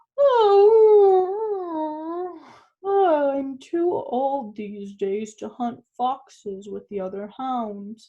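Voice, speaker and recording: A female-sounding put-on character voice speaks at a very slow pace in a high pitch with very wide pitch swings. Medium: read story.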